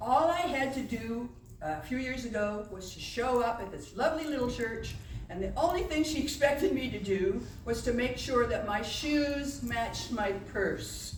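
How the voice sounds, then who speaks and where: A woman's high voice with lively intonation at a fairly slow pace, with audible room echo. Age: old. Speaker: pianist and storyteller. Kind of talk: stage storytelling between piano pieces. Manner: animated. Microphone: no microphone working at first.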